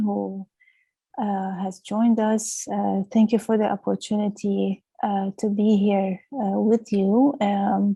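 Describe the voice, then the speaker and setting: A woman's somewhat breathy, dark, mellow voice at a fairly high pitch, very slow and monotone, with flat intonation. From Lebanon. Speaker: clinical director. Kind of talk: webinar presentation. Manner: hesitant, many fillers.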